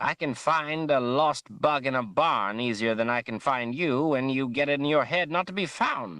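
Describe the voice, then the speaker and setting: Someone speaks in a put-on character voice with hardly any pauses against a quiet background. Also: man, medium pitch for a man, moderate pace. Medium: read story. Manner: animated, fussy.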